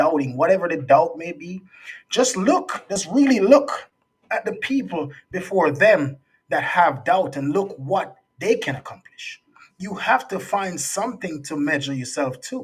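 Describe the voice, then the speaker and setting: A man speaks in a Jamaican accent at a high pitch and moderate pace. His pitch swings very widely and his loudness shifts a lot. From Jamaica, raised partly in US. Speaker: youth speaker and resilience coach. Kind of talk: interview conversation.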